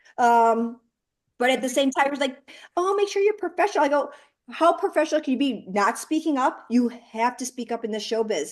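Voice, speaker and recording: Against a quiet background, a woman talks at a fairly quick pace in a high pitch, animated in tone, with very wide pitch swings. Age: 40s. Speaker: film producer and panel host. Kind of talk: panel discussion.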